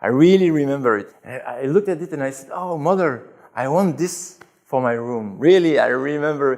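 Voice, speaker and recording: Fairly quick and fairly high-pitched, a man with a French accent talks with ordinary pitch variation and big swings in loudness. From Belgium, Brussels. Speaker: convert to Islam. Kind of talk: interview testimony. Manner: halting.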